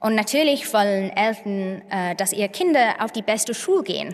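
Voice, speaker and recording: A woman with an English accent at a fairly slow pace, in a quiet background. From northern England, Manchester. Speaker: tech and data researcher. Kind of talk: conference talk. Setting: stage with audience. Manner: halting, many filler sounds. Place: stage. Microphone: podium.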